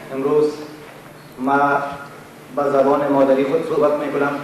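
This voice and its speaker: Speaking at a moderate pace with long, frequent pauses, a man has a fairly high voice. Noticeable background noise and audible room echo surround him. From Afghanistan. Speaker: self-styled philosopher. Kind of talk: lecture. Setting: conference room with audience.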